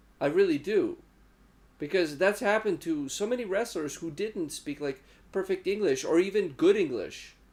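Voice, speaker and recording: A man with a non-native accent speaks in a high voice at a moderate pace, his tone animated and his intonation lively. The recording is very clean, with a silent background. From former Yugoslavia. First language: not English. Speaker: wrestling podcast host. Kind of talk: casual chat.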